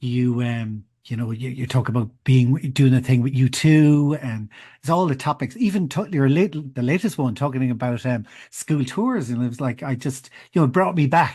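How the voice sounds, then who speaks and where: Against a quiet background, a man with an Irish accent speaks at a medium pitch and a moderate pace. His tone is dark and mellow, somewhat breathy, with ordinary pitch variation. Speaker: podcast host. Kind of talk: casual interview chat. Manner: halting, many false starts.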